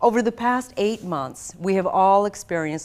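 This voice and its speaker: Speaking at a fairly slow pace in a General American accent, a woman uses an ordinary speaking voice with lively intonation. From US, raised from age seven; also Philippines. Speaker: broadcast journalist, event host. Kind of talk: scripted event hosting. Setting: virtual conference broadcast. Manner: formal.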